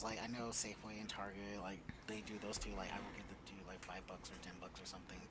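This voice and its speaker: There is noticeable background noise. The speech moves at a very fast pace. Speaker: podcast co-host. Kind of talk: casual chat.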